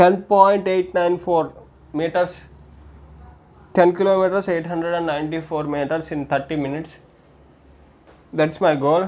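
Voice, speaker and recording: Keeping his intonation fairly even, a man speaks at a fairly slow pace. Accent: Indian. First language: Telugu. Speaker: amateur runner and fitness vlogger. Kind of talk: solo tutorial vlog. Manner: halting, with repetitions and self-corrections.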